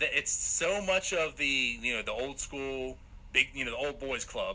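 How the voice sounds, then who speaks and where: An animated man speaks at a moderate pace. Noticeable background noise is present. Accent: American. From Pennsylvania (New Castle). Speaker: sports podcast host. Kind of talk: casual interview chat.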